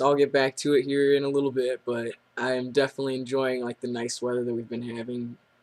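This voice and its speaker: This is a man talking. His intonation stays monotone and flat. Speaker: vlogger documenting gender transition. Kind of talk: casual video diary. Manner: casual, with many fillers.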